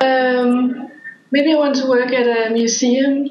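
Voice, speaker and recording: A woman's high voice with a Danish accent, audible room echo and noticeable background noise. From Denmark, small town. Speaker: podcast guest. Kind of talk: casual chat.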